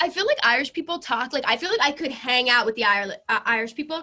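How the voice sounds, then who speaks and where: Very fast and raised to project, this woman's high voice has a bright, sharp tone and lively intonation. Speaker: social media creator. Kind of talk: casual chat.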